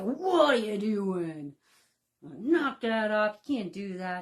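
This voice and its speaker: A gruff, put-on character voice that sounds female, pitched in the middle range for a woman, speaks at a very slow pace over a quiet background. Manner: scolding, commanding.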